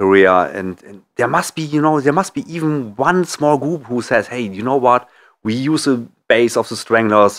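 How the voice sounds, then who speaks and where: In a German accent, a man of medium pitch speaks at a moderate pace with lively intonation and big swings in loudness, on a very clean recording with a silent background. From Germany. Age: 50s. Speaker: author. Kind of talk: interview.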